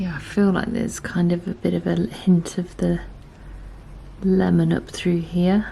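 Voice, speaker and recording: A woman speaks quietly at a fairly slow pace over noticeable background noise. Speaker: artist. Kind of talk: tutorial. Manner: quiet, absorbed; hesitant, filler-heavy.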